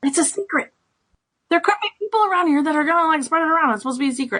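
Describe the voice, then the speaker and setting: Using a put-on character voice, a woman speaks very fast in an extremely high, squeaky pitch. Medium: actual play. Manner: bubbly, gushing.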